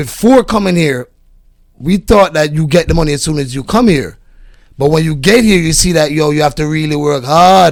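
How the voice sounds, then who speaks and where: Speaking with a Jamaican accent, a man uses a fairly high pitch and ordinary pitch variation. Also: moderate pace. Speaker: podcast guest. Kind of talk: casual chat.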